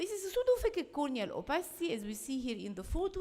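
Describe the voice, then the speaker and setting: A woman talking at a fairly quick pace. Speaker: eye surgeon presenting at a medical conference. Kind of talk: conference lecture. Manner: fast.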